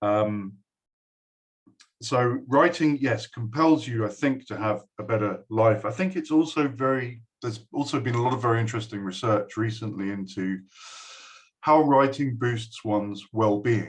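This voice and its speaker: This man has an English accent and a medium pitch. He keeps a moderate pace with ordinary pitch variation. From England. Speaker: university lecturer. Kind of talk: speech to a school. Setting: recorded video address. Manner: hesitant, many fillers.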